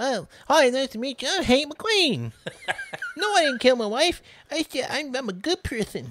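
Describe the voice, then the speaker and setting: Using a put-on character voice, the speaker talks at a high pitch and a fairly slow pace. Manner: feigned innocence, casual.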